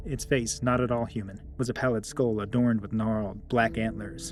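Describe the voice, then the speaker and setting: Music plays behind the speaker. He is a man talking fairly quickly. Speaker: horror story narrator. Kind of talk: horror story narration.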